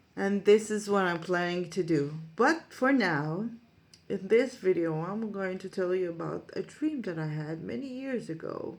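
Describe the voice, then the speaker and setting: A woman speaks in an Israeli accent at a medium pitch. Her pace is fairly slow. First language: Hebrew. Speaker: psychic medium and life coach. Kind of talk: monologue to camera, storytelling. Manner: halting, many fillers.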